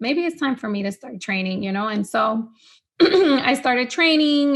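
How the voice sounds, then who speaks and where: Speaking at a moderate pace, a woman uses a high pitch and lively intonation. She has a Spanish accent. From Honduras. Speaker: fitness trainer. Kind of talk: podcast interview. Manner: casual, filler-heavy.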